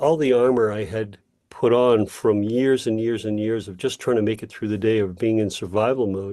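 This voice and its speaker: The man's medium-pitched voice has a dark, mellow tone and ordinary pitch variation. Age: 60s. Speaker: healing practitioner and coach. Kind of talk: interview. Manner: halting.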